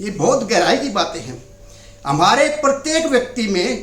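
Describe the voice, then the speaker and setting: With an extremely high pitch for a man, he speaks over noticeable background noise in audible room echo. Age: 70s. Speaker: anti-addiction activist. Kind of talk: interview monologue. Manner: halting.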